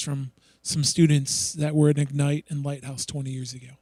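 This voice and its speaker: Speaking at a fairly quick pace, a man with a fairly high pitch uses a normal speaking voice. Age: 40s. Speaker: youth pastor. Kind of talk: prayer; announcements.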